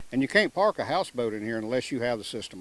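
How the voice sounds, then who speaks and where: This man speaks with a Mississippi accent at a medium pitch. Noticeable background noise runs behind him. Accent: Southern US (Mississippi). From US South, coastal Mississippi. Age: 70s. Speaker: houseboat resident. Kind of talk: interview.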